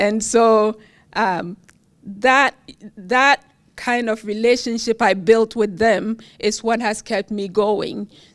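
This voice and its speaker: A woman's fairly high voice with a Ghanaian accent, fairly even intonation and a very slow pace, on a very clean recording with a silent background and a dry, close sound with no echo. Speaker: university professor, award recipient. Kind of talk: award acceptance speech.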